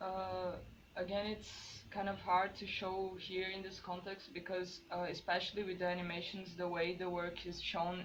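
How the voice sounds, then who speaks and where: There is audible room echo as a woman speaks. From Brazil. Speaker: visual artist. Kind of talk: artist talk presentation. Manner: hesitant, many fillers.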